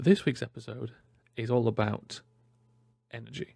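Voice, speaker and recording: Vocal fry runs through this man's medium-pitched voice. He speaks at a moderate pace. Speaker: podcast host. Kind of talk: podcast intro. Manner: soft-spoken.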